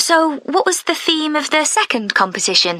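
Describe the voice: A woman puts on a character voice, pitched high with big pitch swings, a bright, sharp tone and a moderate pace.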